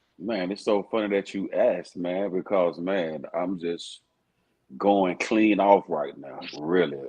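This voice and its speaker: A man with a Southern US accent has a very deep, low voice. He speaks at a fairly slow pace with fairly even intonation. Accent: Southern drawl. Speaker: rapper. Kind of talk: casual interview chat.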